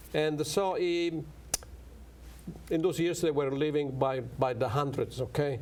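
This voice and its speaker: This man talks very slowly with an Italian accent. His pitch varies in an ordinary way. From Italy. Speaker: professor. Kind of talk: interview. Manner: halting.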